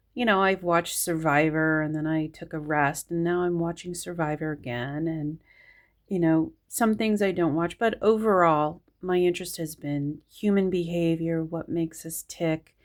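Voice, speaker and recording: A woman's fairly low voice, fairly even intonation, moderate pace, very clean recording with a silent background. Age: 50s. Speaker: astrology video creator. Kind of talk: casual monologue. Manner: hesitant, filler-heavy.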